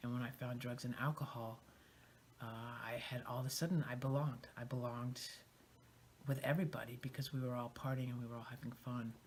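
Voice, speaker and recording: A man speaks very fast at a medium pitch, flat and monotone. He is somewhat breathy and leaves long, frequent pauses. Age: 50s. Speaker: recovering addict sharing story. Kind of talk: testimony.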